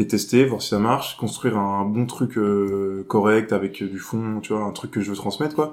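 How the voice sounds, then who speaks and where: A plain, everyday voice from a man, fairly low in pitch, with fairly even intonation, a moderate pace and hardly any pauses. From Jura, France, then near Cholet from age 11-12. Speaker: stand-up comedian. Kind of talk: casual chat.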